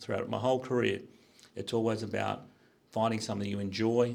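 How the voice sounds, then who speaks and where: A man speaks at a fairly quick pace. His pitch is fairly low and his intonation monotone and flat. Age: 60s. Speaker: business executive. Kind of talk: career talk to students. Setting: school panel with audience.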